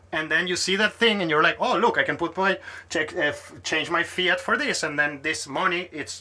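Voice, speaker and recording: Over noticeable background noise, a man talks at a very fast pace in a high voice with lively intonation. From Venezuela. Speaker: podcast host. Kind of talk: casual chat. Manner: animated.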